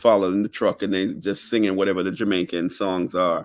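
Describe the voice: A man speaks at a fast pace in a fairly low voice.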